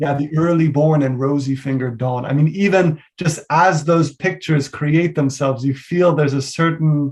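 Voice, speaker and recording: A man with an American accent speaks at a moderate pace in a fairly high, somewhat breathy voice, with hardly any pauses. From US Northeast, New York City. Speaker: poet and literature teacher. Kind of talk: Q&A discussion after lecture. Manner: halting, many fillers.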